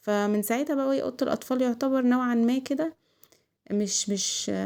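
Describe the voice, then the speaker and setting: A woman with an Egyptian accent speaks at a moderate pace with ordinary pitch variation in a very clean recording with a silent background. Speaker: home vlogger, mother. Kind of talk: casual vlog chat. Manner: loud; animated.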